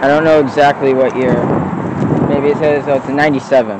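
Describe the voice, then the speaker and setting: A man talks at a moderate pace in a dry sound with no echo, over loud background noise. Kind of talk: casual vlog chat. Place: open country. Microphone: phone near.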